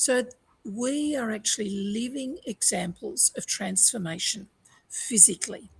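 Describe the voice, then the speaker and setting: A woman's fairly high, somewhat breathy voice, with lively intonation and a fairly slow pace. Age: 60s. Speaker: resilience coach. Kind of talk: panel discussion. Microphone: internet problems.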